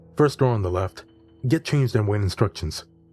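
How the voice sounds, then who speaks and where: A man's fairly low voice at a moderate pace, with music in the background. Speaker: horror story narrator. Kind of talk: horror story narration.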